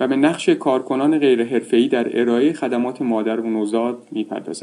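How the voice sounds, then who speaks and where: The man's tone is dark and mellow, at a medium pitch. His intonation stays fairly even. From Iran. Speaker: health researcher and associate professor. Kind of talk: scripted narration. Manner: formal.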